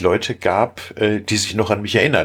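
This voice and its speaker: A man speaks in a somewhat breathy voice. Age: 50s. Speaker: caver. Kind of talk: casual chat.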